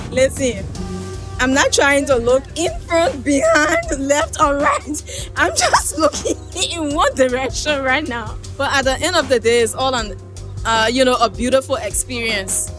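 A woman speaks at a fairly slow pace, and the sound is dry with no echo. Clear music plays in the background. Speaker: travel vlogger. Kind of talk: casual vlog chat. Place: boat. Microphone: handheld.

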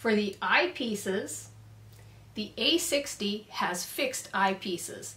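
The speaker is female. She talks very slowly. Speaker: product reviewer. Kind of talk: product review tutorial. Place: workshop.

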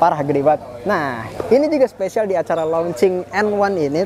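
With noticeable background noise behind him, a man talks at a very fast pace in a high pitch with ordinary pitch variation. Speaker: helmet reviewer. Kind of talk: casual product review chat. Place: hall. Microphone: lapel.

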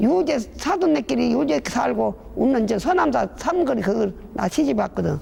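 A woman with a Jeolla accent at a moderate pace, noticeable background noise behind her. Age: 80s+. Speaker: rural elder interviewee. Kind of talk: casual interview.

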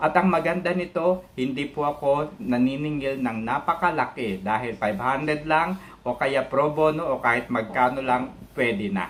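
A man with a fairly high pitch and lively intonation at a fairly slow pace. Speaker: data scientist and university lecturer. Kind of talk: self-introduction monologue to camera. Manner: hesitant, many fillers.

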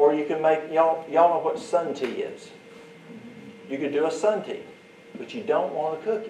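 A man with a Southern US accent talks at a moderate pace with ordinary pitch variation, big swings in loudness and long, frequent pauses. Audible room echo and light background noise are present. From US Deep South. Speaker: herbal remedies teacher. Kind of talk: workshop demonstration. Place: hall.

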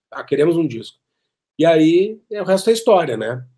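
A man with a Gaúcho Brazilian accent talks at a fairly quick pace in a fairly high pitch with a dark, mellow tone against a quiet background. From Porto Alegre, southern Brazil; Rio Grande do Sul, Brazil. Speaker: keyboard player. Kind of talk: interview storytelling. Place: home room. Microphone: webcam.

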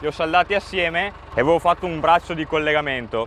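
A man speaks at a high pitch in a dry sound with no echo, over light background noise. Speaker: farmer vlogger. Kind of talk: casual vlog explanation. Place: open country. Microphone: phone near.

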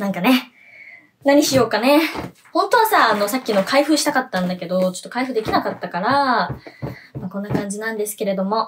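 Fairly quick, lively speech from a woman with a fairly high pitch, over noticeable background noise. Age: 20s. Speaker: idol singer. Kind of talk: solo web radio vlog. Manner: animated. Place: home room. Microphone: phone near.

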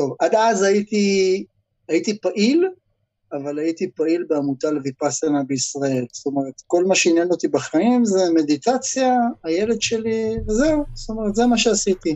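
Against a quiet background, a man speaks at a moderate pace. His high pitch moves in very wide swings. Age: 50s. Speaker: protest activist, former forklift driver; interview guest. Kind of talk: interview. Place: home room. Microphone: video call.

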